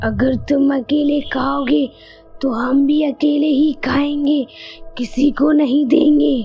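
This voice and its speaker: A female-sounding, cartoonish character voice speaks at a high pitch and a very slow pace. Clear music plays in the background. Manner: greedy, gleeful.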